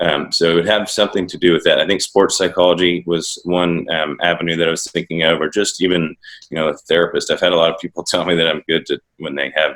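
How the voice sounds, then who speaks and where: Barely pausing, a man with a very deep, low pitch races along at a very fast pace in a monotone, flat intonation. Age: 20s. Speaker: country rock singer and songwriter. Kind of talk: interview. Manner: halting.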